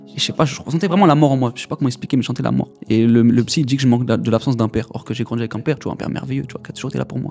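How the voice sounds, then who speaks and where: Over music in the background, a man at a medium pitch rushes along at a very fast pace with hardly any pauses and ordinary pitch variation. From Paris region, France (Essonne). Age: 20s. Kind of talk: testimony. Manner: casual slangy.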